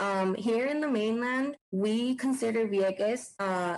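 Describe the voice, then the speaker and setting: Speaking with a Puerto Rican accent, a woman talks at a fairly slow pace. Her pitch varies in an ordinary way. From Puerto Rico. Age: 20s. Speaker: former library intern. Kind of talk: scripted narration.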